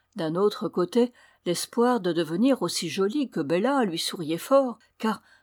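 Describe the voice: The intonation stays lively throughout this plain reading aloud.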